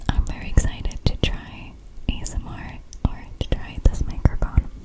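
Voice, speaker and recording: A woman whispers over noticeable background noise. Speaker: ASMR content creator. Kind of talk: ASMR intro to camera.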